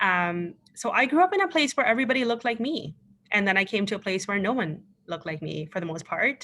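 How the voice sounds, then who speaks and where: A woman at medium pitch speaks very fast with a Pakistani accent. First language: Urdu. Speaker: panelist, former political candidate. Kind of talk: panel discussion. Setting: virtual event. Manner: hesitant, many fillers.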